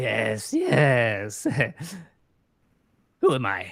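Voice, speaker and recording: Recorded very cleanly against a silent background, this put-on character voice is raspy and theatrical, sitting at a low-to-middle pitch. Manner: odd, theatrical, ominous.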